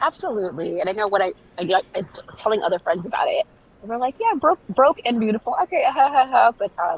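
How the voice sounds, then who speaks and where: Talking at a very fast pace in a Southern Californian accent, a woman with a fairly high pitch makes very wide pitch swings, heard in a dry, close recording with no echo but noticeable background noise. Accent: Valley Girl. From Jamaica. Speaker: clothing brand founder. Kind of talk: casual interview.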